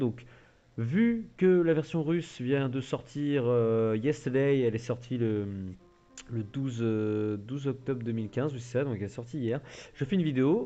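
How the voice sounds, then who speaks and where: In a quiet setting, a man speaks at a moderate pace with a medium pitch, ordinary pitch variation, and a dark, mellow tone. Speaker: gaming youtuber. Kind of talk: tutorial.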